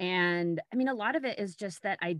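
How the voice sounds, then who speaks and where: At a moderate pace, a woman talks with an unremarkable speaking voice pitched fairly low. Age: 50s. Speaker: podcast host and writer, former cyclist. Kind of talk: interview.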